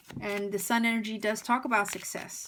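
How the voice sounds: A fairly bright tone at a fairly quick pace, with little pitch movement. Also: woman, medium pitch for a woman.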